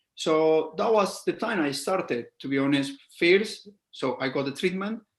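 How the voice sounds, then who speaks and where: At a fairly slow pace, a man with a Colombian accent speaks in a fairly high voice with ordinary pitch variation. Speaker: scalp micropigmentation artist. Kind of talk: casual interview.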